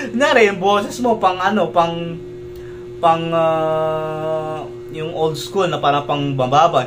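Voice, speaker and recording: A fairly high-pitched man with a Filipino accent at a fairly slow pace, with audible room echo and music in the background. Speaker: YouTube reactor. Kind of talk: reaction video commentary. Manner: casual, code-switching Taglish.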